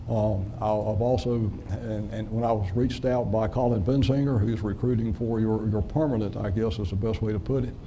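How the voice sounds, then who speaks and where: A man with a strong Southern US accent talks at a fairly quick pace in a fairly low pitch, with fairly even intonation and audible room echo. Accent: deep Southern. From US South, North and South Carolina. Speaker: city manager. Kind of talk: self-introduction at a city council meeting. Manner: folksy, with many fillers.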